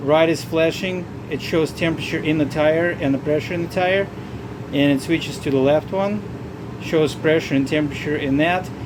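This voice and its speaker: Long, frequent pauses break up speech at a moderate tempo. Background noise is noticeable throughout. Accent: non-native. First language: not English. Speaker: RV vlogger. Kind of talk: tutorial. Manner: halting.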